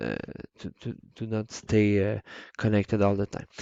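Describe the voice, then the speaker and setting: With a Quebec accent, a man speaks in a fairly low pitch at a moderate pace. His intonation is monotone and flat. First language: French. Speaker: teacher. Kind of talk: tutorial. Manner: halting, many fillers.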